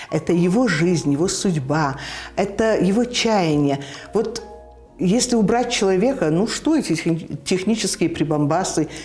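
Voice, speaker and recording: Over music in the background, a woman speaks at a fairly slow pace with long, frequent pauses. Her medium pitch moves with lively intonation while her loudness stays very even. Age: 70s. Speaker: TV announcer. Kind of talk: interview answer. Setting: studio.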